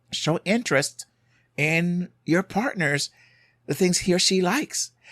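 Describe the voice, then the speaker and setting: A man with a Jamaican accent speaks at a fairly slow pace in a high pitch. His intonation is lively, and the sound is dry and close with no echo. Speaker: marriage and family therapist, podcast host. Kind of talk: podcast monologue, advice. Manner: conversational, with hesitations.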